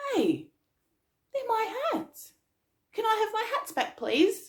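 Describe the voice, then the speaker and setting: A woman puts on a squeaky character voice at an extremely high pitch. She speaks fairly slowly with lively intonation. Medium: read story. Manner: scolding, increasingly cross.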